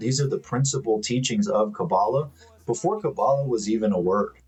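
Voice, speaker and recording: There is music in the background as a man with an American accent speaks. His pace is moderate and his intonation lively. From Miami, Florida, US. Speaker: spiritual commentator. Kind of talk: monologue to camera.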